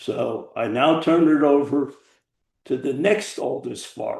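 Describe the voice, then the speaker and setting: A man with an American accent speaks in a fairly high pitch with a dark, mellow tone. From New Jersey. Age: 80s+. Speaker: podcast co-host. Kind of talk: casual chat.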